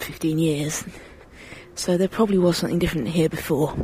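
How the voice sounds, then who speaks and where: With a British accent, a woman speaks at a fairly low pitch over noticeable background noise. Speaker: podcast host. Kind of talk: casual chat.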